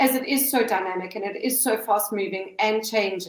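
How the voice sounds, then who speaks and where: A woman with a fairly high pitch, ordinary pitch variation and an ordinary speaking voice speaks at a fairly slow pace. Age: 50s. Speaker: account manager. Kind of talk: podcast interview answer.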